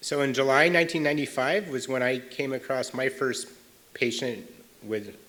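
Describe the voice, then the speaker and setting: A man at a medium pitch and a moderate pace, bright and sharp in tone, with audible room echo. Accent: American. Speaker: paediatric cardiologist. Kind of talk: lecture. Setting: stage with audience. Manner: loud; informal.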